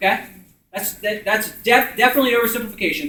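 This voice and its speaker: In an American accent, a man with a high pitch uses a raised, projected voice. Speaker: community organizer leading a workshop. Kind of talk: group discussion explaining policy. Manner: loud talker; casual, filler words.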